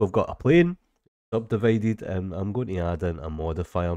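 The speaker talks at a fairly quick pace with a Scottish accent. Pitch varies in an ordinary way. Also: man. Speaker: 3D software tutor. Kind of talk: tutorial. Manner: casual.

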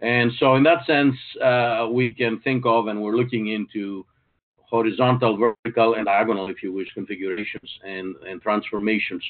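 With fairly even intonation and a moderate pace, a man talks in front of a quiet background. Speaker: webinar presenter. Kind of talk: lecture. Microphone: video call.

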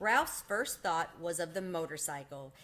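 At a moderate pace, a woman speaks with a fairly low pitch and a fairly bright tone.

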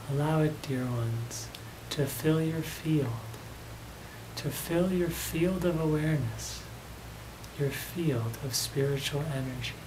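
Against noticeable background noise, a man speaks in a gentle, soothing tone, fairly slowly and with long, frequent pauses. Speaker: channeler and meditation guide. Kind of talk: guided meditation. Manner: slow, soothing, with long pauses; gentle, repetitive, calming. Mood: serene, soft, slow. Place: home room.

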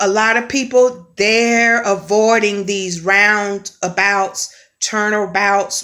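With a bright, sharp tone and fairly even intonation, a woman speaks at a very slow pace over a quiet background. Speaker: spiritual vlogger. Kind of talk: casual spiritual vlog message. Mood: earnest, expressive. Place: home room. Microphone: phone near.

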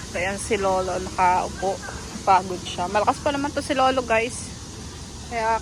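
Noticeable background noise accompanies a woman at a medium pitch. She speaks at a fairly slow pace. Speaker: caretaker and vlogger. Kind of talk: casual vlog. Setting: outdoors in a park.

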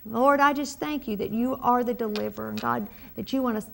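A woman with a Southern US accent talks at a fairly quick pace and a fairly high pitch over light background noise. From US South. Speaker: pastor. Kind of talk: prayer ministry broadcast. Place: studio. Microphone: lapel.

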